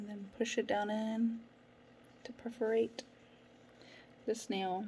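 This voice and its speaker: A woman's fairly high, somewhat breathy voice with a dark, mellow tone at a fairly slow pace. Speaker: nail product seller. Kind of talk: tutorial.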